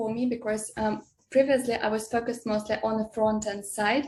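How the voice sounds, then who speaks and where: Somewhat breathy and fairly high-pitched, a woman with a non-native accent speaks in a flat monotone. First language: not English. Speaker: software developer. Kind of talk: interview. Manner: halting, many hesitations.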